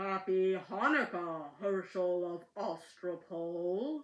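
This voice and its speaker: A female-sounding put-on character voice at a middle pitch, delivered at a very slow pace. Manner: menacing.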